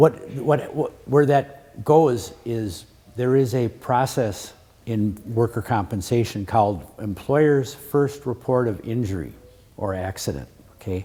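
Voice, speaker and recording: With an American accent, a man of medium pitch talks at a fairly slow pace, somewhat breathy, with a dark, mellow tone and ordinary pitch variation. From Wisconsin. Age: 60s. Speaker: attorney. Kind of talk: lecture. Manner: repetitive stammering restarts.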